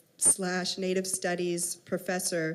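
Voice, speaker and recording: A woman talks at a fairly slow pace and medium pitch. Her intonation is monotone and flat. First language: Hebrew. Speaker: professor, panel chair. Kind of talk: panel moderation and introductions.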